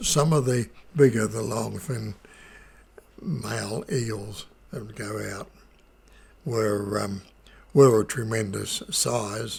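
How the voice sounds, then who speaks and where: Speaking at a very slow pace in a New Zealand accent, a man leaves long, frequent pauses and shows big swings in loudness. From New Zealand, Wairarapa. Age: 80s+. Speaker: Māori elder. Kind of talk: oral history recollection. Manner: humorous, warm.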